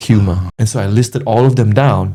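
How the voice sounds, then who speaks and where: A man speaks at medium pitch with ordinary pitch variation. His dark, mellow tone is somewhat breathy. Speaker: podcast co-host. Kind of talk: casual chat. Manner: fast; energetic.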